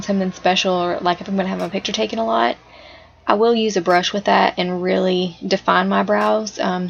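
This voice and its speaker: Over noticeable background noise, a woman with a Southern US accent talks fairly quickly at a medium pitch with lively intonation. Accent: American country. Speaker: makeup enthusiast. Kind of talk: makeup tutorial voice-over. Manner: casual, chatty.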